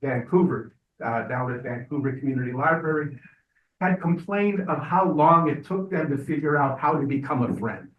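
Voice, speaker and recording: Fairly high in pitch, a man speaks at a moderate pace with ordinary pitch variation. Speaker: public commenter, library friends group member. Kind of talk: public comment at board meeting. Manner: loud.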